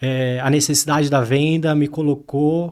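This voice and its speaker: A man's fairly high voice, flat and monotone, on a very clean recording with a silent background. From Brazil, Diadema (São Paulo). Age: 30s. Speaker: tech company co-founder and CTO. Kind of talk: interview.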